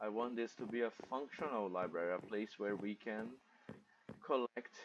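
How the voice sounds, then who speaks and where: A man with a non-native accent speaks at a moderate pace, his medium-pitched voice keeping a fairly even intonation. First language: not English. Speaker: gamer, content creator. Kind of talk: gameplay commentary. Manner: halting.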